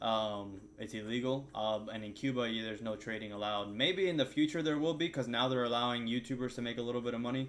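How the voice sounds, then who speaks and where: A man at a very fast pace with ordinary pitch variation, over noticeable background noise. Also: medium pitch for a man. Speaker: day trader streamer. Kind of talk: casual chat during live trading stream.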